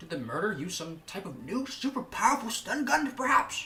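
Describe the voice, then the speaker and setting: The voice is fairly high in pitch. It is a put-on character voice. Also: fairly quick pace. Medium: game stream. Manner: bumbling, naive.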